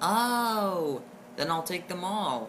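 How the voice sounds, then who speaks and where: A female-sounding voice at medium pitch performs a put-on character voice over clear background noise. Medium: read story. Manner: sneering, imperious.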